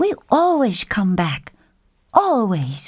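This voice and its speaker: A female-sounding voice performs a put-on character voice at a medium pitch. Its pitch swings very widely. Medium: read story.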